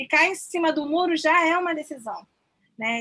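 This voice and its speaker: A woman speaks with a high voice. Her pace is moderate. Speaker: student presenter. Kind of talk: class presentation.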